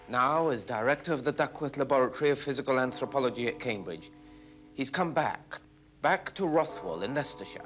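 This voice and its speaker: With music in the background, a man speaks fairly quickly at a medium pitch with lively intonation. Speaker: television reporter. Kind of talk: documentary newsreel narration.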